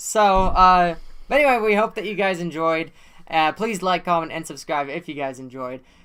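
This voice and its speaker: A man talks loudly at a moderate pace in a high pitch, with a bright, sharp tone and lively intonation. The recording is very clean, with a silent background. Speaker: podcast co-host. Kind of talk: casual chat.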